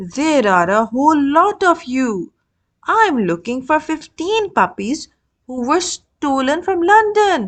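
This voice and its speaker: A woman's put-on character voice, high-pitched with very wide pitch swings, at a fairly slow pace against a quiet background. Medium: read story. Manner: brisk, military.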